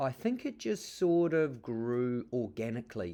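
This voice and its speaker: A man with a New Zealand accent speaks at medium pitch with lively intonation over a quiet background. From New Zealand (Auckland). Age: 40s. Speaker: artist. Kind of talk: interview monologue. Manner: halting, many fillers.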